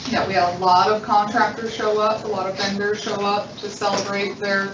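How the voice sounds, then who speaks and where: Intonation stays monotone and flat at a moderate pace. Noticeable background noise and audible room echo fill the recording. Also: woman, medium pitch for a woman. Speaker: district manager. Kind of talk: public board meeting. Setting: meeting room with voice-activated microphones. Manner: stuttering.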